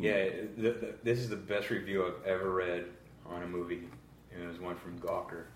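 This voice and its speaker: A man with a very deep, low pitch keeps his intonation fairly even. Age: 30s. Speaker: podcast co-host. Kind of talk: casual chat.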